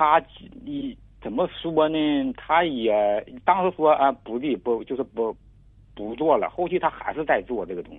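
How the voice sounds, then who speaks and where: Delivered at a fairly slow pace, the speech has very wide pitch swings, big swings in loudness, and long, frequent pauses. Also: man, fairly high pitch for a man. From rural China. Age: 50s. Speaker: caller, farmer. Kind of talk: advice call-in. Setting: phone call. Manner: halting, repetitive stammering.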